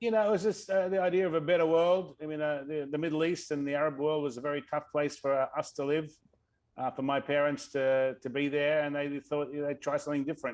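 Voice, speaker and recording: A man with an Australian accent speaks at a very fast pace. His fairly high voice keeps a fairly even intonation. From Australia, Sydney. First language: Arabic. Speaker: tech executive. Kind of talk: interview.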